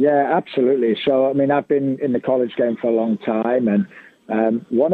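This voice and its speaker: A man with a Birmingham accent speaks at a medium pitch with fairly even intonation. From Birmingham, England. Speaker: soccer coach. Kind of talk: interview.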